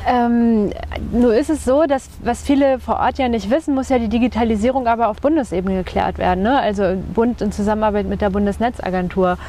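A woman speaks in a fairly high pitch with ordinary pitch variation over noticeable background noise. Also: fairly quick pace. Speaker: podcast host, journalist. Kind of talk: interview. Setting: outdoors on a bench by a lake.

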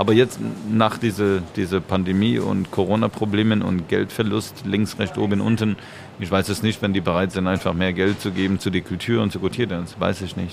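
A man talks at a moderate pace with a fairly low pitch and fairly even intonation. Noticeable background noise runs underneath. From Canada, Montreal. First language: English or French (speaking German). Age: 40s. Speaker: dancer and choreographer. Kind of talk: casual chat.

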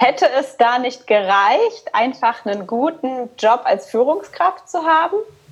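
A woman at a very slow pace with a high pitch, very wide pitch swings and hardly any pauses. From Rhineland, Cologne, Germany. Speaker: podcast host, coach. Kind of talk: casual interview.

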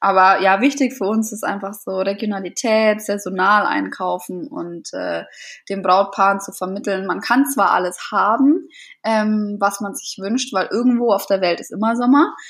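A normal speaking voice from a woman, medium in pitch with ordinary pitch variation, at a moderate pace, with big swings in loudness. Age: 20s. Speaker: florist and set designer. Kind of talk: interview.

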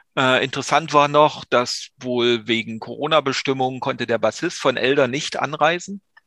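Against a quiet background, a man speaks at medium pitch in a bright, sharp tone with fairly even intonation. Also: moderate pace. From East Germany. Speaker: music podcast co-host. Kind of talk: casual chat.

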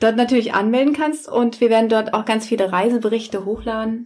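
A woman with a fairly high pitch and a somewhat breathy voice talks at a moderate pace. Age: 30s. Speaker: podcast co-host, teacher. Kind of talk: casual family chat.

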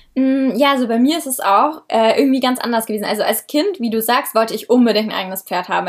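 At a fairly quick pace, an unremarkable speaking voice talks with ordinary pitch variation. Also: woman. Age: 20s. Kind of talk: casual interview.

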